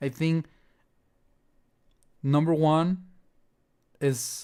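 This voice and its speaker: A man speaks with a Spanish accent on a very clean recording with a silent background. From Mexico. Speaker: music producer. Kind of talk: livestream chat. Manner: halting.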